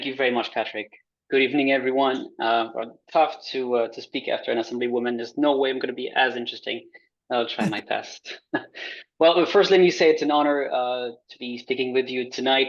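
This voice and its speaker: A man's medium-pitched voice with a French accent, fairly quick, with ordinary pitch variation and big swings in loudness. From France. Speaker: transit customer advocate. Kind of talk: presentation. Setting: video call.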